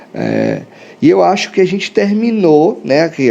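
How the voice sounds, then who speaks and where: Noticeable background noise runs under a man speaking at a moderate pace. His pitch swings very widely. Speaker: architect. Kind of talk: live stream lecture. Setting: live stream. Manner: casual, many fillers.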